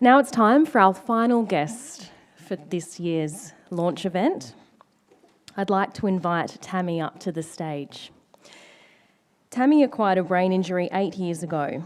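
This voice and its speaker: A woman of medium pitch speaks in an Australian accent with lively intonation at a fairly slow pace, leaving long, frequent pauses. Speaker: event MC. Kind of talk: event hosting. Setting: stage with audience.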